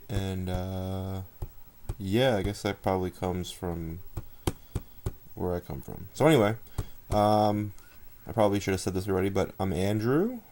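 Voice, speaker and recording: Soft-spoken and mumbling, a man with a very deep, low pitch and a dark, mellow tone talks at a moderate pace with fairly even intonation and long, frequent pauses. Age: 20s. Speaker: blogger and amateur writer. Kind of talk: casual vlog monologue. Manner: laid-back, mumbled enunciation.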